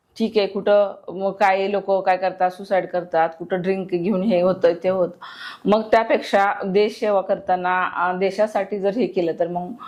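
The woman's delivery sits at a medium pitch, with monotone, flat intonation. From Maharashtra, Satara district. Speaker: war widow. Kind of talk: testimony.

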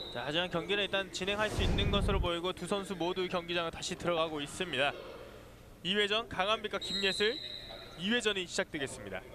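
Over noticeable background noise, a raised, projected voice moves at a fairly quick pace with ordinary pitch variation. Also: man, high pitch for a man. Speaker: sports commentator. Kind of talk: live commentary. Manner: fast, excitable play-by-play delivery, calling each move as it happens; formal broadcast diction, with pauses to defer to the analyst.

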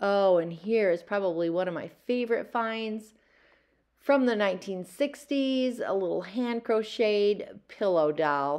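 Against a quiet background, a woman speaks. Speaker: thrift reseller vlogger. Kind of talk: casual vlog chat. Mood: relaxed and fond. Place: shop. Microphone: phone near.

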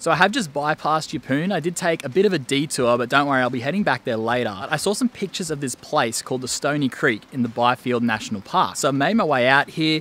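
A man's very fast, bright, sharp delivery with lively intonation and hardly any pauses, in a dry sound with no echo. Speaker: travel vlogger. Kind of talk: casual vlog chat. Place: open country. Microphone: phone near.

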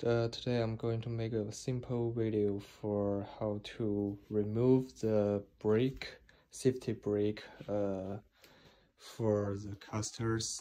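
In a non-native accent, the speech goes at a very slow pace. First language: not English. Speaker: DIY video maker. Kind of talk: tutorial. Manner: halting. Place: home room. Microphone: phone near.

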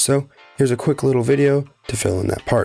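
Over music playing in the background, a man talks in an upbeat tone. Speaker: gaming YouTuber. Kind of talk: gaming tutorial narration. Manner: casual, upbeat.

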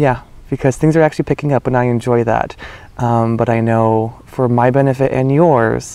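A man speaks at a moderate pace with fairly even intonation, in a dry sound with no echo. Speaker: spiritual reader. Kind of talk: casual vlog chat. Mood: warm, smiling. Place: garden. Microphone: phone near.

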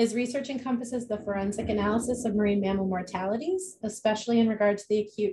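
A woman talks very fast with hardly any pauses, her voice dark, mellow and somewhat breathy, with ordinary pitch variation. Noticeable background noise runs underneath. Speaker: event host. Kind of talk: speaker introduction. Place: home room. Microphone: video call.

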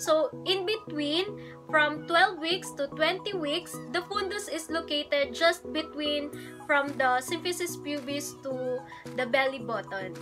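A woman speaking at a fairly slow pace, with clear music in the background. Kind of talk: lecture. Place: home room. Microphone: phone near.

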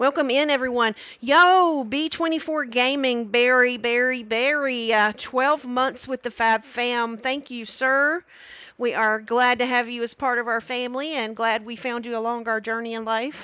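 Against a quiet background, a woman talks at a fairly slow pace in a high pitch, with a dry sound and no echo. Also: fairly even intonation. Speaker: cooking streamer. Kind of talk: live stream cooking tutorial. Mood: warm, cheerful. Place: kitchen.

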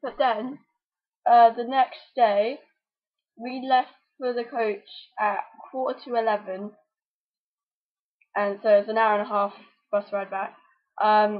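Over a quiet background, a woman speaks at a fairly slow pace with long, frequent pauses and fairly even intonation. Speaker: vlogger. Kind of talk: casual vlog chat. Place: home room. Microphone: webcam.

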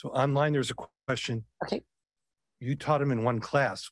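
Against a quiet background and a dry sound with no echo, a man with an American accent speaks at a moderate pace, somewhat breathy, with ordinary pitch variation. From Rochester, New York; New York. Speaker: event moderator. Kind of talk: introduction and Q&A moderation. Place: hall. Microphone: podium.

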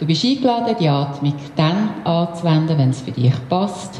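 A woman with a fairly low pitch speaks at a moderate pace, with audible room echo and light background noise. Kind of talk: guided exercise instruction. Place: gym.

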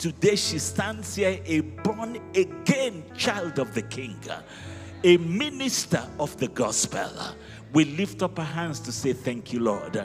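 Clear music plays behind the voice. A man delivers his words at a very slow pace. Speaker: pastor leading prayer. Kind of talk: prayer. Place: hall. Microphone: handheld.

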